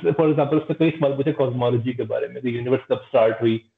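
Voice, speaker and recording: Audible room echo surrounds a man against a quiet background. His pitch shows ordinary variation. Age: 20s. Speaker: podcast host. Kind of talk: interview. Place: home room. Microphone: video call.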